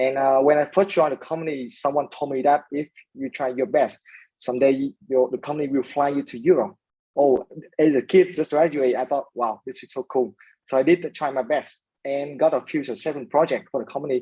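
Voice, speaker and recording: A man with a Vietnamese accent and a dark, mellow tone speaks fairly quickly at a fairly high pitch with fairly even intonation, in a dry, close sound with no echo. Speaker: startup founder. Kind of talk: interview. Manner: hesitant, many fillers.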